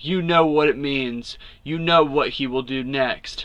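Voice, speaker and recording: In a put-on character voice, a man growls at a fairly high pitch and a fairly slow pace. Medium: read story. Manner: terse, gruff.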